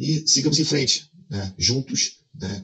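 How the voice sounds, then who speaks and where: A man talks fairly slowly, his intonation lively. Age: 40s. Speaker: video creator. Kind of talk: casual vlog monologue.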